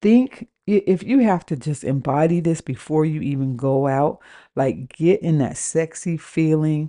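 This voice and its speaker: Against a quiet background, a woman with an American accent speaks in a very deep, low pitch, her dark, mellow tone carried by lively intonation. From US West Coast, Washington. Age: 40s. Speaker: dating coach and podcast host. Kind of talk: casual monologue rant. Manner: halting, many fillers.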